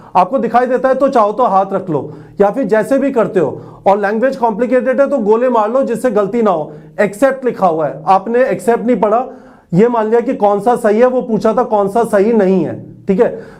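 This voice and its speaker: Moderate pace and ordinary pitch variation. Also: man, high pitch for a man. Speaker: exam coaching teacher. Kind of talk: motivational exam guidance talk.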